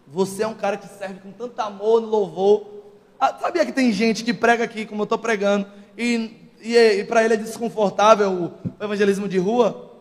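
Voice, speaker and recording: There is noticeable background noise as a man speaks at a moderate pace with a high pitch. His intonation is fairly even, though his loudness swings a lot. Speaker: preacher. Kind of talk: sermon. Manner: forceful, sounds angry.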